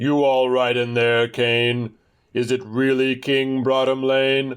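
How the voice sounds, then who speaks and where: A man's put-on character voice at a medium pitch, fairly slow and in a monotone, flat intonation. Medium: read story. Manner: booming, eager.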